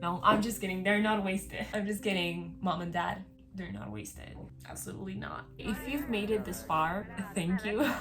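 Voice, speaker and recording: With a Spanish accent, a woman speaks at a moderate pace in an animated tone. There is audible room echo and music in the background. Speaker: vlogger. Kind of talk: casual vlog monologue.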